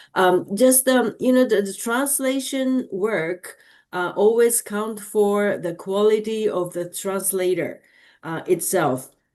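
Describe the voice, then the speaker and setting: A woman's medium-pitched voice in a Japanese accent, very slow in pace, with lively intonation against a quiet background. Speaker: audience member asking a question. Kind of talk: Q&A after a lecture. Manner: halting, many fillers.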